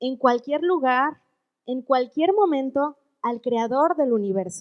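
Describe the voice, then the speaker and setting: A woman speaks fairly slowly in a high pitch, her voice making very wide pitch swings. The sound is dry and close, with no echo. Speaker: women's ministry speaker. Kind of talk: sermon. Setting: church women's meeting.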